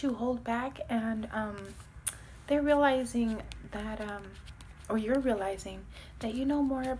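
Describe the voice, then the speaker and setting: A soft-spoken woman talks at a moderate pace in a high voice. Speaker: tarot reader. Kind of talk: tarot reading. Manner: casual.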